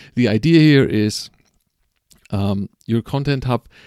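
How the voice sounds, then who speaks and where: Speaking with a non-native accent, a man of medium pitch has a dark, mellow tone and ordinary pitch variation. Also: dry, close sound with no echo. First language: not English. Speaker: podcast host. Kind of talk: live stream monologue. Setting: live stream at home at night. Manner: halting, many fillers and repetitions.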